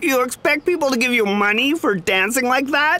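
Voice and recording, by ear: A put-on character voice pitched high. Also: moderate pace.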